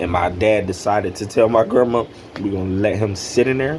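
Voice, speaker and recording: Against noticeable background noise, a man with an American accent talks fairly quickly at a fairly low pitch with ordinary pitch variation. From North Carolina and Delaware. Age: 30s. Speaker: YouTuber telling his conversion story. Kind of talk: personal testimony monologue. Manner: casual, with many fillers. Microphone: poor audio quality.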